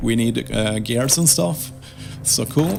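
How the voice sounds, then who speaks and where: Fairly slow speech with audible room echo and music in the background. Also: man. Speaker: gaming video creator. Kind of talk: gameplay commentary. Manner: halting.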